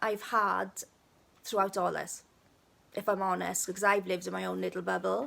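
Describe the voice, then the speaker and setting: A woman talks in a Welsh accent. The recording is very clean, with a silent background. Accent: Welsh, stronger when speaking Welsh. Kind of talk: casual live video chat. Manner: chatty.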